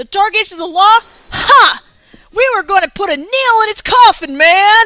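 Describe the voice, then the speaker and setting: In a put-on character voice, a woman shouts at a moderate pace, hoarse and strained, with an extremely high pitch. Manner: loud, fervent, defiant.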